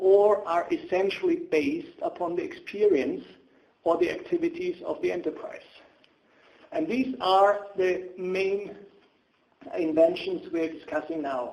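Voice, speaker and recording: With a German accent, the speaker moves fairly slowly, pitch swinging very widely, with long pauses coming often. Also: man, high pitch for a man. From Germany. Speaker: patent attorney. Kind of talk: webinar presentation. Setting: online webinar.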